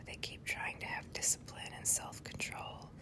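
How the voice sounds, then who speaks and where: Someone is whispering in a calm tone. Noticeable background noise can be heard. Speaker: prayer ASMR channel host. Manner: whispered, soft, calm.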